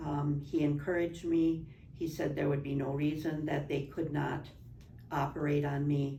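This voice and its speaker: Audible room echo surrounds a woman's voice. She speaks at a moderate pace with a very deep, low pitch. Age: 70s. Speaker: spine surgery patient. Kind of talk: testimony.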